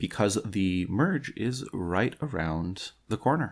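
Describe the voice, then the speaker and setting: This man has a fairly low-pitched voice. The background is silent on a very clean recording. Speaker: podcast host reading articles. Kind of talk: podcast intro. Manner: stumbling, repeating words.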